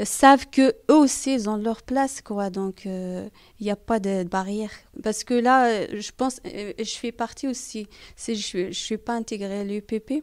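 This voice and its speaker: Speaking with a non-native accent, a woman has a fairly high pitch and ordinary pitch variation. Her pace is fairly slow, on a very clean recording with a silent background. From outside France. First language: not French (speaking French). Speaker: parent in a community research group. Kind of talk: interview. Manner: halting, many hesitations.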